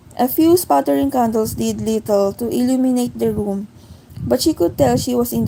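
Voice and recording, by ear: Someone reads text out loud using a natural voice.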